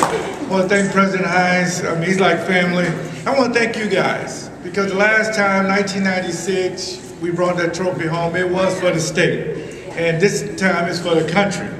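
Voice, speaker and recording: Noticeable background noise sits behind a man whose high-pitched voice moves at a fairly quick pace with fairly even intonation. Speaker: former pro football player. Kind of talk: rally speech to a crowd. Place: hall. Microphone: camera far.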